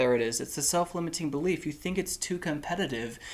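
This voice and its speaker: A soft-spoken man with ordinary pitch variation. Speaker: tarot reader. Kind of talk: tarot reading. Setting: indoors, warm room.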